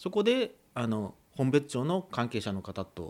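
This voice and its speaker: A man whose pitch swings very widely as he talks. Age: 40s. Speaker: farmer, former doctor. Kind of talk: radio interview. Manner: hesitant, many fillers.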